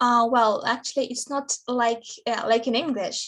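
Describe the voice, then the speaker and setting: A woman with a Russian accent speaks at high pitch with fairly even intonation. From Russia, Samara region. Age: 20s. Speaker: interviewee. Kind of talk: interview. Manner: halting, many fillers.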